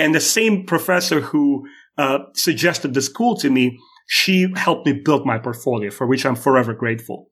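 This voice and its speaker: A man with a Russian accent and a fairly high pitch, lively intonation at a moderate pace, and very even loudness. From Moldova (Soviet Union), Russian-speaking. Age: 40s. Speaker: YouTube creator and animator. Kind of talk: casual interview chat. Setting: remote call. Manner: halting.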